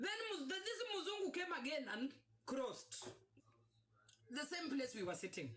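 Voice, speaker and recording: A woman with a high pitch and an animated tone speaks at a moderate pace, her pitch swinging very widely while her loudness stays very even, with long, frequent pauses. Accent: Kenyan. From Kenya. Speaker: vlogger telling her life story. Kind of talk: personal storytelling monologue. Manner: halting, repetitive false starts.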